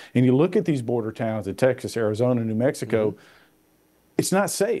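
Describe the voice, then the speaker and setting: A man with a dark, mellow tone talks with lively intonation against a quiet background. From Middle Tennessee. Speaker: congressman; guest. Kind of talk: interview.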